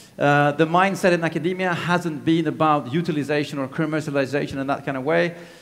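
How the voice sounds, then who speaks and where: Speaking at a very fast pace with hardly any pauses, a man with a fairly high pitch is heard with audible room echo. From Greece. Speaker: technology transfer manager and business coach. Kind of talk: conference talk. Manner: energetic.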